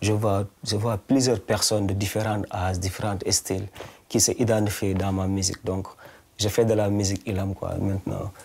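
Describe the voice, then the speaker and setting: Somewhat breathy and dark, mellow in tone, the voice carries a Senegalese accent and moves at a moderate pace with monotone, flat intonation. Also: man, fairly low pitch for a man. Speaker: singer-songwriter. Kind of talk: interview. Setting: studio-shop interview. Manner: halting, repeats words.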